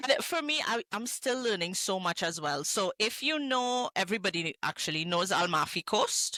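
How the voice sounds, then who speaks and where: A woman's voice with very wide pitch swings and hardly any pauses. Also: medium pitch for a woman, moderate pace. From Trinidad (Arima). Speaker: hospitality entrepreneur. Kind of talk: podcast interview.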